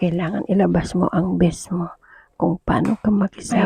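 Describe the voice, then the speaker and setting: A woman's voice at a medium pitch. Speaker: overseas domestic worker vlogger. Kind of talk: casual vlog. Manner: loud.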